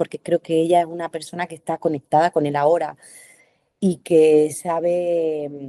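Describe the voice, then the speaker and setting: A woman's voice, dry and close with no echo. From Andalusia, Spain. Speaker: actress. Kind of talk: interview answer. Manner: hesitant, thoughtful.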